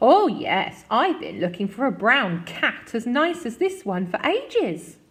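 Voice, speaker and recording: Woman's put-on character voice, high in pitch, with very wide pitch swings at a fairly slow pace. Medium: read story. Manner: warm, doting.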